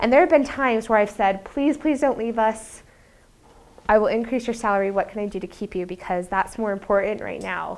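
A woman speaks at a fairly quick pace with a fairly high pitch. Her pitch varies in an ordinary way. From Utah, US. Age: 30s. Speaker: business professor. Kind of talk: lecture. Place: classroom. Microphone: lapel.

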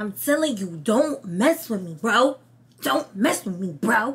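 In a put-on character voice, a female-sounding speaker uses a raspy, fairly high pitch at a fairly slow pace. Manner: aggressive, threatening.

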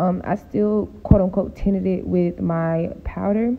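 A woman speaks at a fairly slow pace in a fairly low voice with vocal fry and fairly even intonation.

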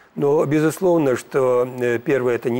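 This man's speech has a moderate pace and ordinary pitch variation. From Belarus, Mogilev region. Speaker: artist and professor. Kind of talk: morning TV studio interview. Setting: studio. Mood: warm, reflective. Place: studio. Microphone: lapel.

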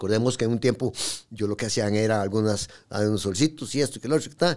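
This man speaks with a Costa Rican accent at a fairly low pitch. The background is quiet. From Costa Rica, raised in Pérez Zeledón. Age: 50s. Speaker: tattoo artist; podcast guest. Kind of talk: interview storytelling. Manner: halting. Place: studio. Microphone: studio mic.

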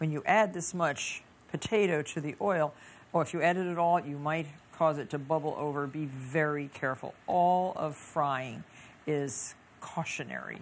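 Her voice is a woman's, very deep and low in pitch. She talks at a fairly slow pace with ordinary pitch variation. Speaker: cooking show host. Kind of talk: tutorial. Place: kitchen. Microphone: lapel.

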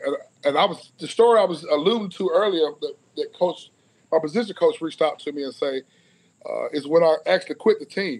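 At a fairly quick pace, a man with a Southern US accent talks in a high pitch. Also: ordinary pitch variation. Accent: Southern US (Georgia). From US South (Cedartown, Georgia); Georgia. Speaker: former college football player; guest. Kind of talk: casual interview. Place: home room. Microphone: video call.

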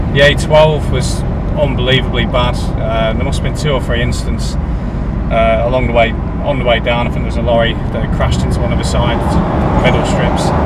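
No echo colors this dry recording, though loud background noise runs throughout. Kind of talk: casual vlog chat. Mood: frustrated, complaining. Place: car. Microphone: phone near.

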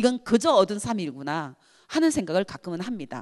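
Her medium-pitched voice moves at a fairly quick pace and swings very widely in pitch. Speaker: activist. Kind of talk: lecture. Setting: university hall with audience.

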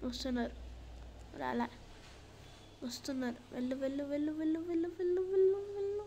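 A woman's high pitch and lively intonation against noticeable background noise. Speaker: Pokemon Unite gamer and YouTuber. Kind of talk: live gameplay commentary. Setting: gameplay recording with voiceover.

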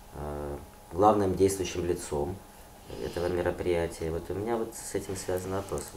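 This man's voice sits very deep and low, with ordinary pitch variation, and he talks at a moderate pace. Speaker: interviewer. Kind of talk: formal interview questions.

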